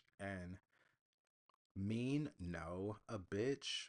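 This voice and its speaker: Ordinary pitch variation marks speech delivered at a very slow pace. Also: man. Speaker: podcast host. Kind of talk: solo podcast monologue. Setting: home recording with USB mic. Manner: soft-spoken.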